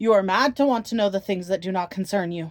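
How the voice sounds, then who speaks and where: This is a put-on character voice at a middle pitch. It rattles along at a very fast pace. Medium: read story. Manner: strangled, fearful.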